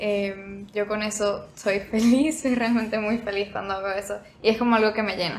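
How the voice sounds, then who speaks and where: Over noticeable background noise, a woman with a Venezuelan accent speaks at a fairly high pitch with fairly even intonation. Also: moderate pace. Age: young. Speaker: podcast guest, baker. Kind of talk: casual chat.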